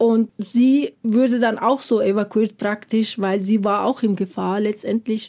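At a fairly slow pace, a woman with a fairly high pitch and a dark, mellow tone speaks in a monotone, flat way at very even loudness. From Afghanistan. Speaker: preschool teacher. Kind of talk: personal testimony. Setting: studio.

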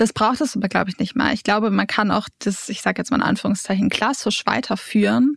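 A woman talks at a fairly quick pace in a fairly high, somewhat breathy voice, her intonation fairly even. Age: 20s. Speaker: leadership trainer and coach. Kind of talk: interview. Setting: studio.

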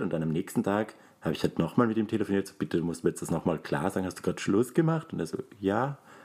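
This man talks at a very fast pace, his pitch fairly low. His tone is dark and mellow, with lively intonation. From Austria, Graz (Styria). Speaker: podcast co-host. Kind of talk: casual chat.

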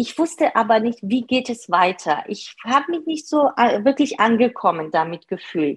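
At a moderate pace, a woman with a non-native accent speaks at a fairly high pitch with very wide pitch swings. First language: not German (speaking German). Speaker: part-time manager. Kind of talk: interview. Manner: hesitant, many fillers.

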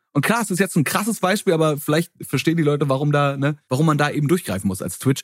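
At a very fast pace, a man talks with a fairly high pitch and ordinary pitch variation. The sound is dry and close with no echo. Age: 30s. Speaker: internet creator guest. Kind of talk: casual chat.

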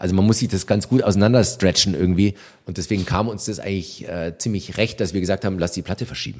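A man's fairly low voice at a very fast pace, ordinary pitch movement, very clean recording over a silent background. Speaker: rock band drummer. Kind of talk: casual interview chat. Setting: in-person recording in Berlin.

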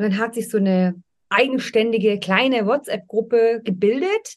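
A woman talks in a plain, everyday voice at a moderate pace. Her pitch is fairly high, with ordinary pitch variation. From Munich, Bavaria. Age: 40s. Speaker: business coach. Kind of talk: interview.

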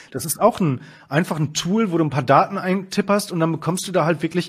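A very clean recording against a silent background captures a man talking fairly quickly. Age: 30s. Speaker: finance journalist and editor-in-chief. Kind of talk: casual interview about investing. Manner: hesitant, many fillers.

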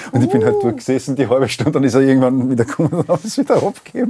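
A man talks at a medium pitch with ordinary pitch variation. Noticeable background noise is present. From Austria, Weinviertel. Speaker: singer-songwriter and podcast host. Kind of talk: casual chat.

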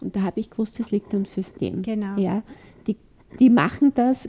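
Somewhat breathy, a woman speaks at a fairly high pitch and a moderate pace. The recording is dry and close, without echo. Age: old. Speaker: author and kinesiologist. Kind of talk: interview.

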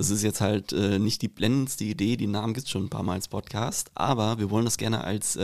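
A man with an unremarkable speaking voice talks at a fairly quick pace with hardly any pauses, his pitch fairly low. The very clean recording has a silent background and a dry, close sound with no echo. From Hesse, Rüsselsheim. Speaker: podcast host. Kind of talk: casual chat; quote reading.

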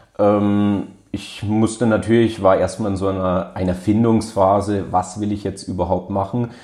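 Delivered at a moderate pace, the voice has a dark, mellow tone and monotone, flat intonation. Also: man. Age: 20s. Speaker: law graduate and research assistant. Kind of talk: interview.

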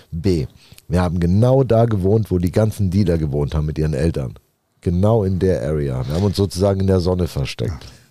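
With lively intonation, a man with a very deep, low voice speaks at a fairly quick pace. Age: 40s. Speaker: former convict turned real estate entrepreneur. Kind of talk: casual interview chat.

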